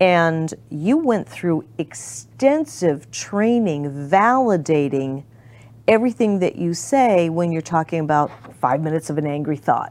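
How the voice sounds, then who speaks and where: A woman speaks at a fairly slow pace with a fairly low pitch. Her pitch swings very widely. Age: 60s. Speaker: talk show host. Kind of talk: casual chat. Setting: studio.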